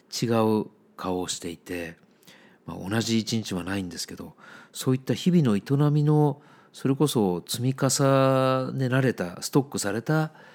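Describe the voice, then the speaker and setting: A man with an ordinary speaking voice and a medium pitch talks at a moderate pace, with lively intonation and big swings in loudness. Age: 50s. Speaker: book editor, podcast host. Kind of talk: solo monologue podcast. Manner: relaxed, conversational.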